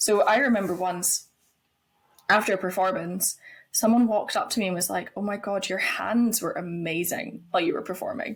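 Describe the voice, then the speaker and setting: With a Scottish accent, a woman speaks at a moderate pace in a somewhat breathy, medium-pitched voice with ordinary pitch variation. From Scotland. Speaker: pole fitness instructor. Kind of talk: podcast interview.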